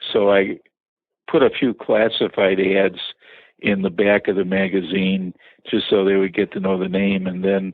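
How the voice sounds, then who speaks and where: A man speaks with a Chicago accent at a fairly quick pace. His pitch is fairly low and his intonation monotone and flat. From Chicago area. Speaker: business owner. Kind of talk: interview.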